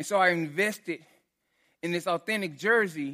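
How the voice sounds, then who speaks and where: In a strong Texan accent, the speaker talks at a fairly quick pace with an animated, bright, sharp tone and ordinary pitch variation, on a very clean recording with a silent background. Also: man. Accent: Texan, heavy twang. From Texas. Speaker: pastor. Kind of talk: sermon. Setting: church. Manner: animated, casual.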